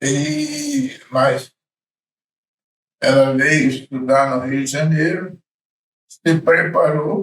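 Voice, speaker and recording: The man's voice is fairly high and his intonation fairly even. He speaks very slowly, with long, frequent pauses. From Brazil, Espírito Santo. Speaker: church elder. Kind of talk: interview.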